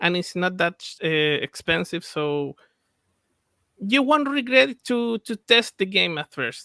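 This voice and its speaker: With a Spanish accent, a man projects his voice at a very slow pace, high in pitch and bright and sharp in tone, swinging very widely in pitch, in dry, close sound with no echo. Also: very clean recording, silent background. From Chile. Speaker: game developer. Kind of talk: interview. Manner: halting.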